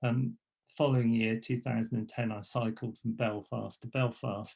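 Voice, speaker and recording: The delivery is monotone and flat at a moderate pace, with very even loudness. The voice is somewhat breathy. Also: man, medium pitch for a man. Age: 60s. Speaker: graphic designer and letterpress printer. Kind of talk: presentation talk. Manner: halting, many fillers and restarts.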